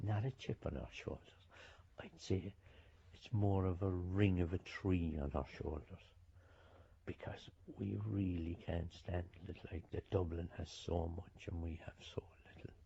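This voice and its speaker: With a Cork accent, a man with a very deep, low voice speaks fairly slowly in a dark, mellow, somewhat breathy tone, using ordinary pitch variation and long, frequent pauses. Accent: Cork Irish. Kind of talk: interview commentary.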